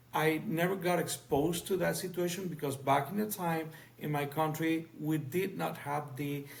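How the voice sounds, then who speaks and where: The speaker has a Spanish accent and keeps a moderate pace. Room echo is audible. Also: man. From Cuba, Havana. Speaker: physician and professor. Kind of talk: podcast interview. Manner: halting.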